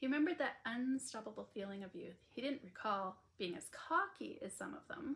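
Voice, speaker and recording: A woman's somewhat breathy voice has lively intonation and a moderate pace. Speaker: author. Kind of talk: audiobook reading of a romance novel. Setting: home recording, earbud mic.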